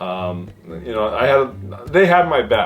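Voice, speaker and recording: A man talks with lively intonation. Noticeable background noise runs under his voice. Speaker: YouTube hobbyist and mechanical engineer. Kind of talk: casual vlog monologue. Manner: halting, many fillers.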